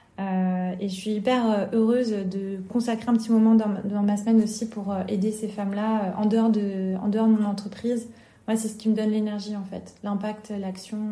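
Somewhat breathy with a dark, mellow tone, a woman speaks at a fairly high pitch in a monotone, flat intonation, with audible room echo. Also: moderate pace. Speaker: entrepreneur. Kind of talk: interview. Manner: talkative.

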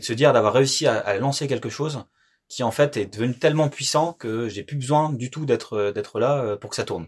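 In a very clean recording with a silent background, a man uses a normal speaking voice at a medium pitch, talking at a fairly quick pace with ordinary pitch variation. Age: 30s. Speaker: company director. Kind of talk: interview.

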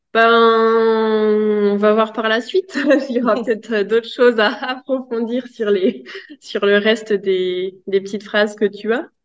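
At a very slow pace, a woman talks with a fairly high pitch and fairly even intonation. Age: 30s. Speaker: positive parenting specialist. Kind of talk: interview. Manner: hesitant, many fillers.

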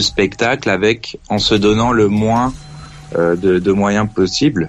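The voice has ordinary pitch variation, heard over noticeable background noise. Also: man. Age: 30s. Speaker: radio show caller. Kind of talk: casual chat. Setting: phone call.

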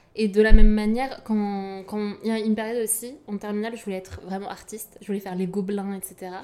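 Over noticeable background noise, a woman speaks at a very fast pace in a flat monotone at medium pitch. Her loudness swings widely. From France, Yvelines. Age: 20s. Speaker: artist and recent graduate. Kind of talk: casual chat.

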